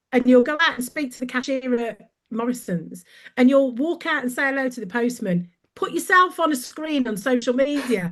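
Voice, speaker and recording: In a Brummie accent, a woman speaks at a high pitch with lively intonation and a moderate pace. Her loudness swings widely. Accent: Brummie (Birmingham). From Birmingham, England. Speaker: brand coach. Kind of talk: podcast interview, casual chat. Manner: animated.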